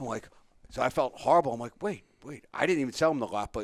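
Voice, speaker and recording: With a strong Philadelphia accent, a man talks at a fairly quick pace. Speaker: radio host. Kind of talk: casual chat. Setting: radio studio.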